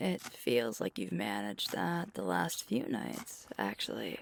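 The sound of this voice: Putting on a character voice, a woman speaks slowly at an extremely low pitch, with vocal fry and big pitch swings.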